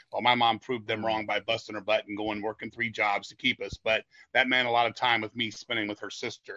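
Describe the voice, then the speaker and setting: At a very fast pace, a man speaks in a monotone, flat delivery at a medium pitch. His tone is bright and sharp, and the sound is dry and close with no echo. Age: 50s. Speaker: death metal singer. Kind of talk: casual chat.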